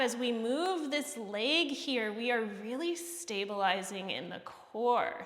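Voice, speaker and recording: A woman with a high voice speaks in a calm tone with lively intonation. Audible room echo and noticeable background noise fill the recording. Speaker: fitness instructor. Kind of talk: workout class instruction. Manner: calm, encouraging instruction.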